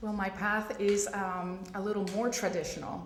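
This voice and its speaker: A woman speaks with a Spanish accent and fairly even intonation. Noticeable background noise and audible room echo come through. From Puerto Rico. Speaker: pediatric radiologist. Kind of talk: panel discussion.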